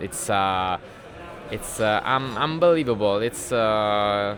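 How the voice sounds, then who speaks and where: Amid noticeable background noise, the speaker goes at a very slow pace with ordinary pitch variation. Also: man. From Italy. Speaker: DJ and orchestral conductor. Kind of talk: interview. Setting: sit-down interview at a music event. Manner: halting, many fillers and repeats.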